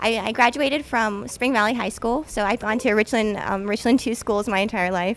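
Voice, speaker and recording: At a moderate pace and with hardly any pauses, a woman talks in a normal speaking voice, her pitch fairly high and her intonation fairly even. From US South, South Carolina (Columbia). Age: 20s. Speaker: mayoral candidate. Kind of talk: campaign speech.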